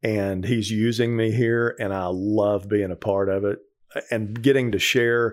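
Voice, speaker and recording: An unremarkable speaking voice in an American accent, fairly slow and fairly even in intonation, in a very clean recording with a silent background. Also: man. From Texas. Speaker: ministry program director. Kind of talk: testimony.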